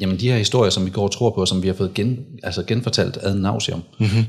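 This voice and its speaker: A man talks at a moderate pace. His voice is fairly low, with ordinary pitch variation. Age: 30s. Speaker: men's rights activist and former soldier. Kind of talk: casual interview. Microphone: too far from the mic.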